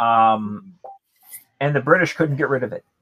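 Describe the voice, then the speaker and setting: A man with a bright, sharp tone at medium pitch speaks at a fairly slow pace in a dry, close sound with no echo. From United States. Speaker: podcast guest. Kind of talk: casual chat. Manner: animated.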